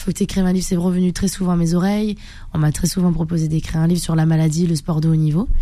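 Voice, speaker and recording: Talking at a very fast pace, a woman has a fairly low pitch. Her tone is dark and mellow, with fairly even intonation. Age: 30s. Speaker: karate champion and bodybuilder. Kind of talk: radio interview.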